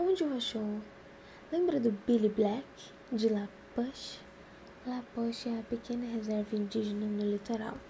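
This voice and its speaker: Against noticeable background noise, a woman with a fairly high voice talks at a fairly slow pace, leaving long, frequent pauses. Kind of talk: novel reading.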